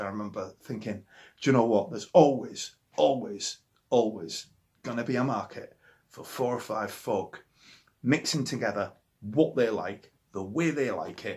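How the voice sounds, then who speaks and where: A man talks with a Yorkshire accent. His pitch is medium and his pace moderate. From Yorkshire, northern England. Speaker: musician. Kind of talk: interview monologue about favourite records. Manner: animated, with many hesitations and repetitions.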